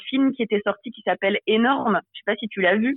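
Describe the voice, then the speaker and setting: A woman's normal speaking voice, moderate in pace, shows ordinary pitch variation. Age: 20s. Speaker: author and social media creator. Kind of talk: interview.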